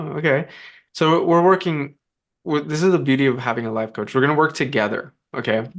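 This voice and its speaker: A man with an American accent speaks at a fairly quick pace, his pitch fairly high. His pitch varies in an ordinary way over a quiet background. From United States. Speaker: life coach. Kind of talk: coaching session. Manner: halting.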